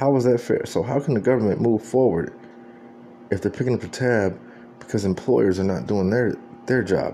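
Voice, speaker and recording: A man with an American accent at a medium pitch and moderate pace, with very even loudness and long, frequent pauses. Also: ordinary pitch variation. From Texas, San Antonio. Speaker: video blogger. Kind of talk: political commentary monologue.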